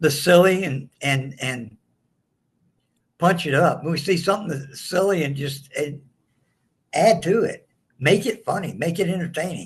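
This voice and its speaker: Speaking at a fairly slow pace with long, frequent pauses, a man with a strong Southern US accent uses a high pitch and ordinary pitch variation. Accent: strong rural Southern. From southeast Texas, earlier Louisiana. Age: 60s. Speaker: comedian. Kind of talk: interview.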